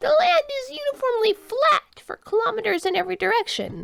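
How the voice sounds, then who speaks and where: In a put-on character voice, a woman speaks at a fairly quick pace with an extremely high, squeaky pitch. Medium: read story. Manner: formal, stiff.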